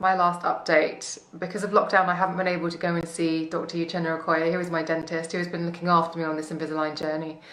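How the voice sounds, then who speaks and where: Audible echo from the room plus noticeable background noise. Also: woman. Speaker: beauty blogger and podcaster. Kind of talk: casual vlog update. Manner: chatty.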